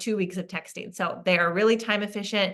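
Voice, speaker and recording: Talking at a fairly quick pace, a woman has a bright, sharp tone and medium pitch. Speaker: network marketing team leader. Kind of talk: team call training. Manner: animated.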